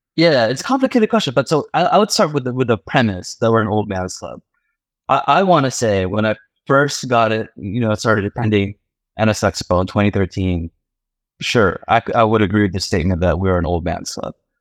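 With a quiet background and a dry, close sound with no echo, a man talks at a fairly quick pace in a plain, everyday voice. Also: fairly low pitch for a man, lively intonation. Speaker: car enthusiast. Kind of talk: casual chat.

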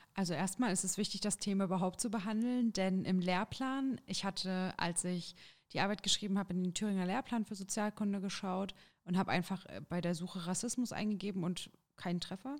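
This woman has a plain, everyday voice. Her pitch is medium and her intonation fairly even. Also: fairly quick pace. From Thuringia, Jena. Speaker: trainee teacher and union youth activist. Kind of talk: interview. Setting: studio.

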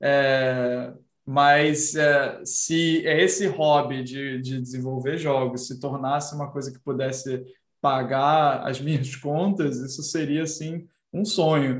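Audible room echo surrounds a man with a fairly high pitch. He speaks at a very slow pace with fairly even intonation. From Brazil. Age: 30s. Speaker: senior designer and indie game developer. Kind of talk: casual interview chat.

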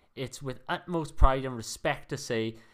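Speaking with a Welsh accent, a man keeps a fairly slow pace. The recording is very clean and the background silent. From Wales. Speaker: sports podcast co-host. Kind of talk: reading aloud; casual sports chat.

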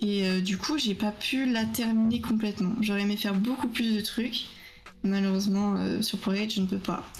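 Noticeable background noise sits behind a woman whose intonation is fairly even and whose loudness stays very even. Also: medium pitch for a woman, moderate pace. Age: 20s. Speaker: art student and streamer. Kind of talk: casual interview.

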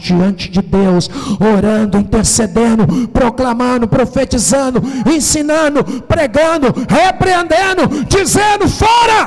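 Very wide pitch swings mark this fairly slow delivery, heard over noticeable background noise. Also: man. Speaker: pastor. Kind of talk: sermon.

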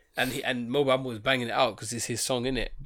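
Very fast speech from a man at medium pitch. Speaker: podcast co-host. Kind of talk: casual chat.

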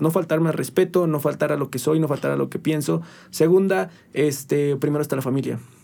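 With a dark, mellow tone and a fairly high pitch, a man talks at a very fast pace. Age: 20s. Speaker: nutritionist. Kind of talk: casual chat.

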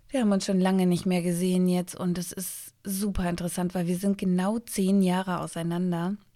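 Speaking at a fairly quick pace with hardly any pauses, a woman with a medium pitch and a dark, mellow tone sounds calm and monotone, her intonation flat, in a very clean recording with a silent background. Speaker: podcast host. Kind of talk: casual solo monologue.

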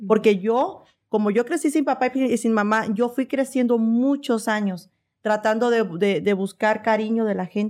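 On a very clean recording with a silent background, a woman with a plain, everyday voice speaks at a fairly slow pace, her fairly high pitch showing ordinary variation. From Veracruz, Mexico. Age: 40s. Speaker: personal trainer and content creator. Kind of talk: casual interview chat.

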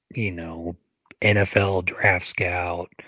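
At a slow pace and low pitch, a man speaks with little pitch movement in a bright, sharp tone, the sound dry and close with no echo.

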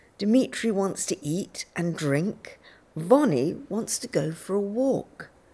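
The unforced reading voice has lively intonation.

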